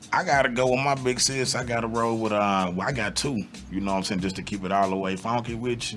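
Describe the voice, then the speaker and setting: Over music in the background, a man talks at a very fast pace in a medium pitch with ordinary variation. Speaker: rapper and podcast host. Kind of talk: casual chat.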